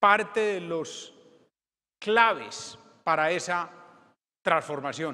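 A man's raised, projected voice, bright and sharp in tone, at a very slow pace with ordinary pitch variation. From Colombia. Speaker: former mayor, politician. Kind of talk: conference keynote. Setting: stage with audience. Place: hall.

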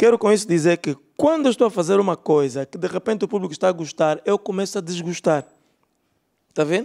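Over a quiet background, a man talks at a very fast pace in a high pitch, his tone dark and mellow and his intonation lively. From Angola. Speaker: stand-up comedian. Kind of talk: stand-up comedy set, dry self-aware musings to a club audience. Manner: musing, hedging with rhetorical asides. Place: stage. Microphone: handheld.

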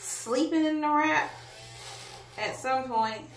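Amid strong room echo, a woman speaks slowly at a fairly high pitch with big pitch swings and a fairly bright tone.

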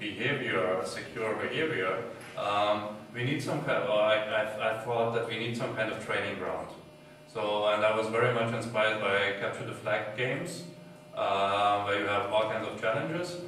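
Strong room echo and light background noise accompany a man talking at a fairly slow pace with ordinary pitch variation. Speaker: conference speaker. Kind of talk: talk presentation. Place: hall. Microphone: camera far.

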